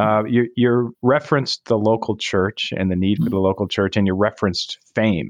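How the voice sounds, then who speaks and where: A man with a normal speaking voice talks at a fairly quick pace and a fairly low pitch. His pitch varies in an ordinary way, and his loudness stays very even. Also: hardly any pauses. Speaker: podcast co-host, sports scholar. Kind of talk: interview.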